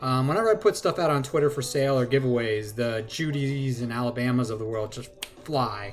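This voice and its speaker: Against noticeable background noise, a man speaks at a fairly quick pace and a medium pitch, with ordinary pitch variation. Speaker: sports card collector. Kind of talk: casual card-opening vlog. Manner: fast.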